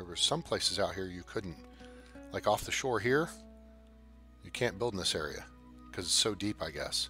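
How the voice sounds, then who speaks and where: Music plays in the background as a man speaks at a moderate pace. He leaves long, frequent pauses. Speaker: gaming video host. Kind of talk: casual live-stream game commentary.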